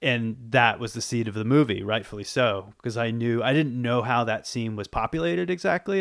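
A man with an American accent speaks at a fairly quick pace in a normal speaking voice. His pitch sits in the medium range. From Boston, US. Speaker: horror film writer and director. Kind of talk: interview. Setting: video call.

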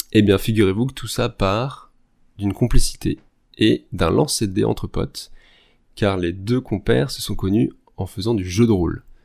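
Over a very clean, silent background, a man with a fairly low pitch and vocal fry speaks at a moderate pace with ordinary pitch variation and long, frequent pauses. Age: 30s. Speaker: general practitioner, podcast guest. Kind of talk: casual chat.

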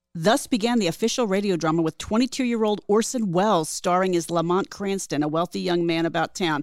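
In a very clean recording with a silent background, a woman with a normal speaking voice talks at a fairly quick pace and medium pitch, with ordinary pitch variation, very even loudness and hardly any pauses. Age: 50s. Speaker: podcast co-host. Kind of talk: casual banter podcast.

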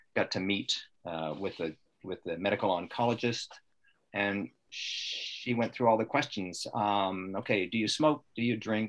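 A man with an unremarkable speaking voice, fairly low in pitch, with ordinary pitch variation and a fairly slow pace. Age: 60s. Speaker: retired electronics repairman, lung cancer patient. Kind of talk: interview. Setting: video call.

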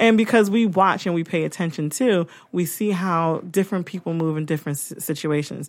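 A woman with an American accent and a fairly low pitch, at a moderate pace with ordinary pitch variation, an unremarkable speaking voice on a very clean recording with a silent background. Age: 40s. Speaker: podcast host. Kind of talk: casual chat. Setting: studio.

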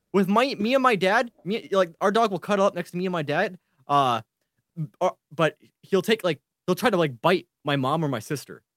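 The sound is dry and close with no echo as a man speaks at a high pitch with lively intonation. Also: moderate pace. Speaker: podcast co-host. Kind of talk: casual chat. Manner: playful.

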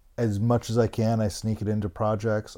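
Dark and mellow in tone, the voice moves at a fairly slow pace over a very clean recording with a silent background. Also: man. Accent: Mid-Atlantic. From US, Maryland (Bethesda, near Washington DC). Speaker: graffiti curator and publisher. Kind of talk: casual interview chat.

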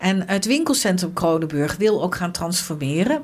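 Background noise is noticeable throughout. The speaking pace is moderate. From Netherlands, Arnhem. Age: 60s. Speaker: local politician. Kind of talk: interview.

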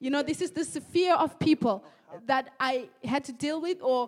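A woman speaks with high pitch and ordinary pitch variation. Her pace is moderate. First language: German. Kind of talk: sermon. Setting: church.

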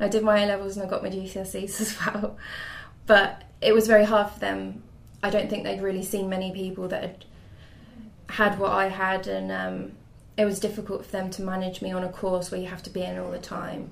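A woman speaks at a medium pitch with flat, monotone intonation. Audible room echo surrounds her voice. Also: fairly quick pace. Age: 20s. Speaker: mental health patient sharing experience. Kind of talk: interview. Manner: hesitant.

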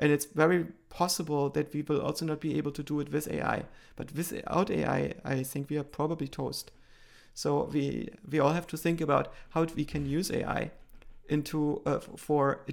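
Monotone, flat intonation from a man with a German accent, fairly high in pitch, at a moderate pace. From East Germany. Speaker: AI researcher. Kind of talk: interview.

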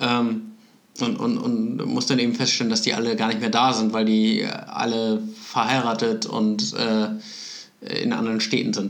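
A man's fairly slow speech at very even loudness, with audible room echo and noticeable background noise. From Kiel, northern Germany. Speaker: podcast host. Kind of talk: casual chat.

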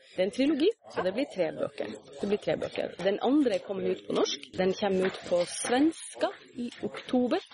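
Noticeable background noise is heard as a woman talks at a moderate pace. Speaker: fantasy author. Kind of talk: interview. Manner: halting.

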